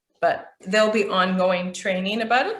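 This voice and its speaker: In a plain, everyday voice with a Canadian accent, a woman speaks at a medium pitch with fairly even intonation. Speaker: business trainer, chamber of commerce president. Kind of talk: training session.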